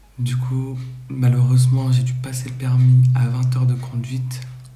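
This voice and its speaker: Over noticeable background noise, a man speaks fairly slowly in a medium pitch with monotone, flat intonation. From northern France. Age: 20s. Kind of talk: casual talk to camera.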